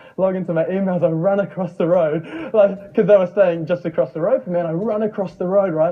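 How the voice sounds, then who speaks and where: A high-pitched man with a New Zealand accent at a very fast pace, over noticeable background noise. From New Zealand, Mount Maunganui. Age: young. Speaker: online marketer and former plumber. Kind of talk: motivational talk. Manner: animated.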